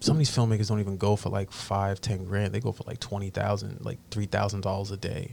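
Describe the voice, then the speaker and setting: Very fast and somewhat breathy, a man with a fairly low pitch speaks with fairly even intonation on a very clean recording with a silent background. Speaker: visual artist and filmmaker. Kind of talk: casual chat. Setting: studio.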